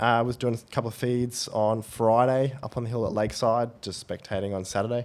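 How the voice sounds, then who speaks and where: Fairly quick speech from a man, on a very clean recording against a silent background. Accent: Australian. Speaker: podcast co-host. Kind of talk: casual chat.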